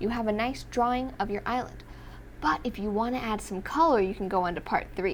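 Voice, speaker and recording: At a fairly quick pace, a woman talks with a fairly high pitch, ordinary pitch variation and vocal fry. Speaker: kids' drawing teacher. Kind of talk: children's drawing tutorial. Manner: animated; fast.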